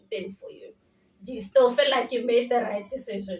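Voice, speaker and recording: Noticeable background noise surrounds a woman speaking at a moderate pace and a fairly high pitch. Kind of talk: interviewer, casual talk to camera.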